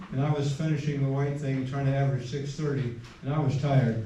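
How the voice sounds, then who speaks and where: Over noticeable background noise and audible room echo, a man with a fairly high pitch talks at a fairly quick pace. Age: 80s+. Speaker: retired cross country coach. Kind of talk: reunion speech. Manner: halting.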